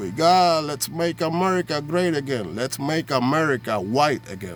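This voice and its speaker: With music in the background, a man's fairly high voice sounds animated at a fairly slow pace. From Puerto Rico. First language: Spanish. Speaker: vlogger. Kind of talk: political rant.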